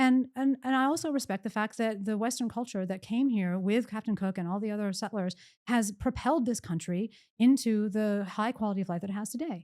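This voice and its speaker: A woman with a normal speaking voice talks at a fairly quick pace and a fairly high pitch, with ordinary pitch variation, on a very clean recording with a silent background. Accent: American. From US, Pennsylvania. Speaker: economist, professor. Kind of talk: podcast interview.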